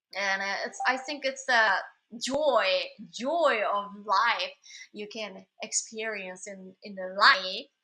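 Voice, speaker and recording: A woman speaks very slowly in a Japanese accent, with a fairly high pitch and a bright, sharp tone. Her loudness swings widely. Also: ordinary pitch variation. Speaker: singer-songwriter. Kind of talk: casual live stream chat. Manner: halting, many fillers.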